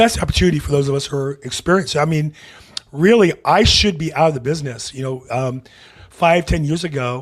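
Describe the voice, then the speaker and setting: Pitch variation in this man's voice is ordinary. He moves along at a fairly quick pace. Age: 60s. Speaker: real estate podcast host. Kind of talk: interview.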